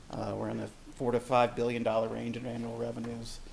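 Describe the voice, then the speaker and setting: A man's medium-pitched voice with vocal fry. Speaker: utility finance consultant. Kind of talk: presentation. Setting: meeting room with audience. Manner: fast.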